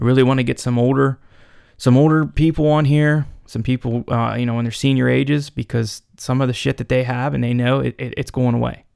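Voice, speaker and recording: On a very clean recording with a silent background and a dry, close sound with no echo, a man of medium pitch speaks at a fairly quick pace with fairly even intonation. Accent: western Pennsylvania. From Pennsylvania, Cambria County. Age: 30s. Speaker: podcast host, outdoorsman. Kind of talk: solo podcast monologue. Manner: casual, filler-heavy.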